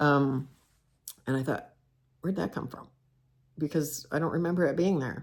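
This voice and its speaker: With an American accent, a woman speaks at a moderate pace and a very deep, low pitch, using ordinary pitch variation and long, frequent pauses. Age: 60s. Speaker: cross-stitch video host. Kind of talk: casual personal monologue. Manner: halting, with many fillers.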